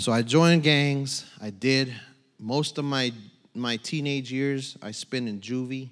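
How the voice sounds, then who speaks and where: A man with an American accent at a medium pitch and fairly slow pace, on a very clean recording with a silent background. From southern California, San Bernardino. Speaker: actor, wrestler and former prisoner giving a church testimony. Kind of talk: testimony. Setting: church stage with congregation.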